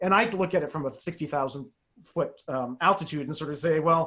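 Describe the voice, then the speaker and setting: A man's fairly high-pitched voice at a very fast pace, with ordinary pitch variation. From Canada. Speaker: media expert panelist. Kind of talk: panel discussion.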